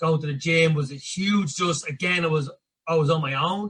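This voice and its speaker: Fairly high in pitch, a man speaks with a Dublin accent. He keeps a moderate pace and fairly even intonation. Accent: Dublin Irish. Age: 30s. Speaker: personal coach. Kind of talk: podcast interview. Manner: casual.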